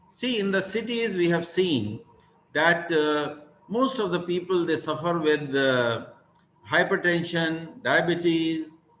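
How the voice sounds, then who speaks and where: The man's pitch is high and his intonation lively. He talks at a very slow pace with audible room echo. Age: 60s. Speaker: university vice chancellor and vaccine scientist. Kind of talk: keynote talk at online summit. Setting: web summit, video call. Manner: halting, many fillers.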